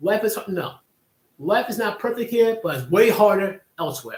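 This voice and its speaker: Here a man is talking. His pitch is high. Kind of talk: live stream commentary talk show. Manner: casual, opinionated.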